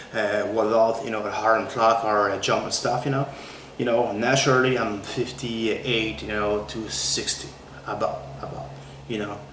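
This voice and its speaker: Over noticeable background noise and audible room echo, a man with a French Canadian accent speaks at a moderate pace and a medium pitch, with ordinary pitch variation. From Quebec. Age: 40s. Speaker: fitness trainer. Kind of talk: tutorial. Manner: repetitive, halting with many fillers.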